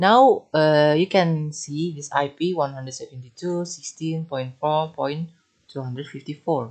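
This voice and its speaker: Speaking at a moderate pace with an Indonesian accent, a man has fairly high pitch and ordinary pitch variation. His loudness swings widely, and the background is quiet. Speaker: networking tutor. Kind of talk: tutorial. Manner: halting.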